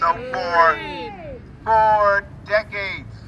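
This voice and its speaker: A man is heard over noticeable background noise. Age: 70s. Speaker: veteran activist speaker. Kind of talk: rally speech. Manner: declamatory.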